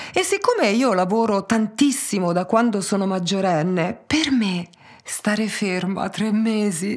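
This woman has an unremarkable speaking voice. Her pitch sits in the medium range with ordinary variation. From Tuscany, Pisa. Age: 40s. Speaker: hairdresser. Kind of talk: interview.

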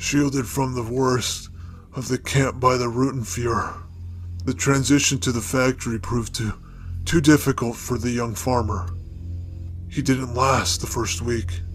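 Using a put-on character voice, a man talks at a moderate pace in a raspy, medium pitch, with long, frequent pauses over clear background noise. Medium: read story. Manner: slow, weighty, halting.

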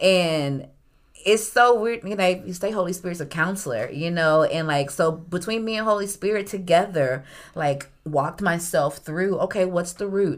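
In a very clean recording with a silent background, a woman with an ordinary speaking voice talks at a moderate pace in a fairly low pitch, with ordinary pitch variation. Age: 40s. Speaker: worship leader and adjunct music professor. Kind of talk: casual chat.

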